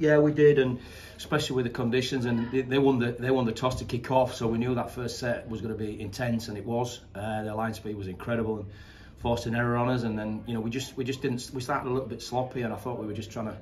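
A man at a very fast pace, monotone and flat, over light background noise. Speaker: sports team head coach. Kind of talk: interview answer. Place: hall. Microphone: phone near.

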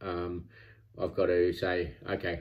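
A man with an Australian accent, very deep, low pitch, and a quiet background. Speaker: vlogger training for a triathlon; fitness vlogger. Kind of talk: personal vlog monologue. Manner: halting, many filler words. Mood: candid, self-critical, calm. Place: home room. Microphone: phone near.

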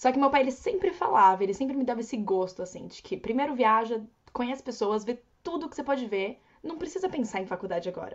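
Against a quiet background, a woman talks at a very fast pace. Her high pitch moves through very wide swings. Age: 20s. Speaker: au pair and travel influencer; travel influencer. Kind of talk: casual interview chat. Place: home room. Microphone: earbuds.

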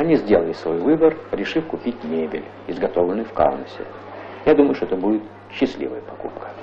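A man's fairly low voice at a fairly quick pace, with very wide pitch swings, long and frequent pauses, and light background noise. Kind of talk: 1985 Soviet newsreel narration. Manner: formal, measured, stately announcer delivery; even, authoritative, declarative tone. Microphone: old recording.

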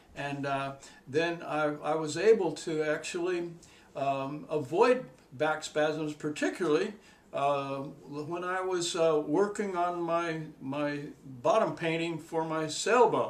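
Using ordinary pitch variation, a man speaks at a very slow pace. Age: 70s. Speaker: retired university professor. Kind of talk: interview answer, personal testimonial about back pain. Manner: hesitant, with frequent filler words. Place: home room. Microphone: camera far.

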